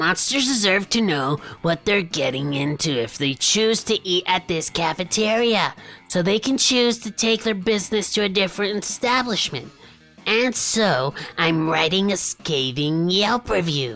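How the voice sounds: A man uses a put-on character voice at a high pitch. He speaks at a moderate pace with music in the background.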